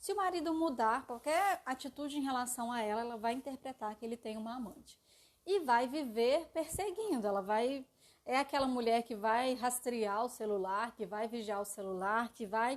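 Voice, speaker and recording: At a moderate pace, a woman speaks in a high voice with lively intonation. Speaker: live stream presenter on psychology and aesthetics. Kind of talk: live stream lecture. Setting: live stream.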